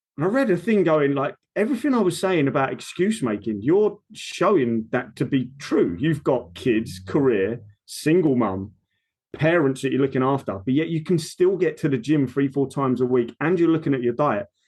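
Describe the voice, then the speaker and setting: Against a quiet background, a man with an Essex accent speaks at a moderate pace in a fairly high pitch, with very wide pitch swings and very even loudness. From Essex, England. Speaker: personal trainer. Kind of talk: casual chat. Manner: animated.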